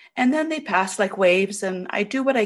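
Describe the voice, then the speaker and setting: A woman talks in a normal speaking voice. Her pace is moderate, with ordinary pitch variation. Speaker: caregiver for dying mother. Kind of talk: Q&A question. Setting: webinar audio.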